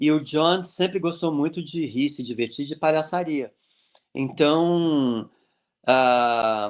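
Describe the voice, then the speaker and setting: A man's fairly high voice at a very slow pace, with ordinary pitch variation and a quiet background. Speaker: clown and social entrepreneur. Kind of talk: interview. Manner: animated.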